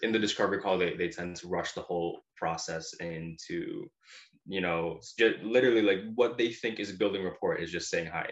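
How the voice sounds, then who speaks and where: This man has an unremarkable speaking voice, set at a fairly low pitch with ordinary pitch variation and a moderate pace. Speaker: digital marketing agency founder. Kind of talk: interview.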